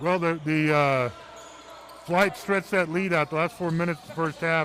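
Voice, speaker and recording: A man's moderately paced speech comes with noticeable background noise behind it. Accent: American. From Texas, Houston. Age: 60s. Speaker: basketball color commentator. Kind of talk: live commentary. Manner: halting, many fillers.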